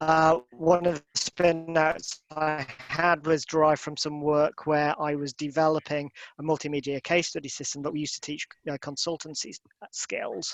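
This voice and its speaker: With a Yorkshire accent, a man speaks at a fairly high pitch and moderate pace in a monotone, flat intonation, with big swings in loudness and a dry, close sound with no echo. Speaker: professor. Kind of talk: online lecture. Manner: halting, many fillers and repeated words. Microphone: dodgy internet connection, audio may go funny.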